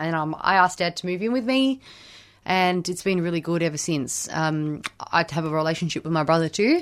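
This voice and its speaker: Over a silent background in a very clean recording, a woman with an Australian accent speaks at a fairly quick pace, her fairly low pitch showing ordinary variation. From Melbourne, Australia (Camberwell). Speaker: recovering addict sharing story. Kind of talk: testimony. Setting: radio studio.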